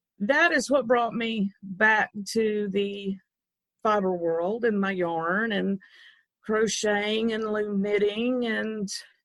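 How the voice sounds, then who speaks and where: A woman speaks very slowly with an Arkansas accent. Her pitch sits in the medium range and varies in an ordinary way. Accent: Arkansas Southern. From US South, Arkansas. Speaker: loom designer. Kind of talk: interview.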